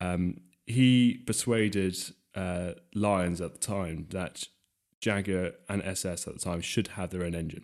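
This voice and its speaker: Speaking at a fairly slow pace with an English accent, a man uses a very deep, low voice and fairly even intonation. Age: 20s. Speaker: classic car restorer. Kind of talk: casual chat.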